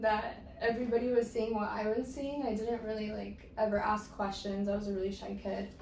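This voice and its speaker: A woman with a fairly high voice and fairly even intonation talks at a fairly quick pace with hardly any pauses, amid noticeable background noise and audible room echo. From Mexico. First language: Spanish. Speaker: guest sharing personal story. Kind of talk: casual interview.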